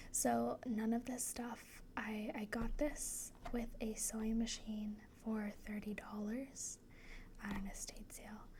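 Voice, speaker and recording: The speech goes at a very slow pace over noticeable background noise. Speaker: ASMR creator. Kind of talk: ASMR chit chat while sewing. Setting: sitting on a leather cube chair. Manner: soft-spoken; casual with many fillers.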